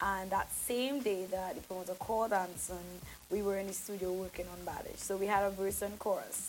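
Woman with an animated, relaxed tone and medium pitch. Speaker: singer and soca artist. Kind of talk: casual interview chat. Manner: animated, chatty, relaxed, filler-heavy.

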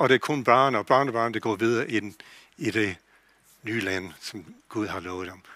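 On a very clean recording with a silent background, a man speaks at a fairly slow pace in a bright, sharp tone with lively intonation. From USA. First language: English (speaking Danish). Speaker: pastor. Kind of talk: sermon. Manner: halting.

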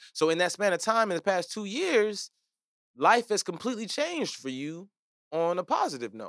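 A man speaks at a moderate pace with a high pitch, very wide pitch swings, big swings in loudness and an animated tone, in a dry, close sound with no echo on a very clean recording with a silent background. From Nigerian heritage. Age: 30s. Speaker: podcast host, comedian. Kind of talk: casual chat.

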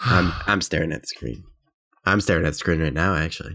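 At a fairly quick pace, a man puts on a raspy character voice with a very deep, low pitch. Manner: disappointed.

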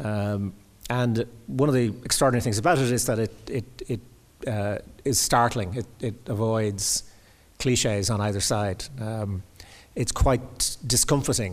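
Speaking with an Irish accent, a man keeps a fairly slow pace. His voice sits at a medium pitch with ordinary variation. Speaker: critic and interviewer. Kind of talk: public conversation. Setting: stage with audience.

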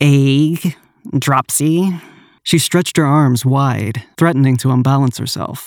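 The pitch varies in an ordinary way as an unforced reading voice carries the text.

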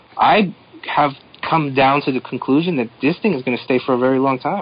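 This man's fairly quick delivery has ordinary pitch variation, heard through noticeable background noise. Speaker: comic creator. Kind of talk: casual chat.

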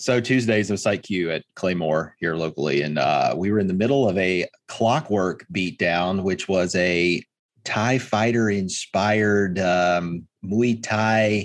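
A man's normal speaking voice, fairly low-pitched and fairly slow, with ordinary pitch variation and very even loudness. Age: 30s. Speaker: podcast co-host. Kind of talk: casual chat.

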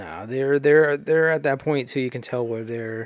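With a medium pitch and a fairly quick pace, a man speaks in a plain, everyday voice. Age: 20s. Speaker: podcast host. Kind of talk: casual chat.

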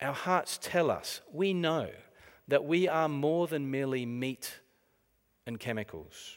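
With an Australian accent, a man speaks very slowly in a fairly high voice with ordinary pitch variation and long, frequent pauses. The recording is very clean, with a silent background. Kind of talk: talk to a church audience. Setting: church with live audience.

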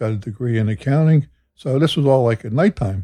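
This man has an American accent and a dark, mellow tone. His voice is somewhat breathy, moving at a moderate pace. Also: quiet background. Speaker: host's father, church deacon. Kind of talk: casual chat. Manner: quiet.

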